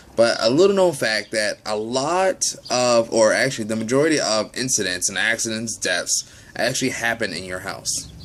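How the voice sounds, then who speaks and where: A man's medium-pitched voice at a moderate pace, lively intonation, noticeable background noise behind it. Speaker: educational video host. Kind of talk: informal explainer. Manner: casual, halting with fillers.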